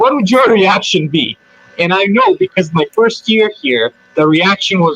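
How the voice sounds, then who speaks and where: With a strong Eastern European accent, a man talks in a high pitch and lively intonation over noticeable background noise. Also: dry, close sound with no echo. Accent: thick Eastern European. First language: Serbian. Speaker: hospitality worker. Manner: hesitant, many fillers.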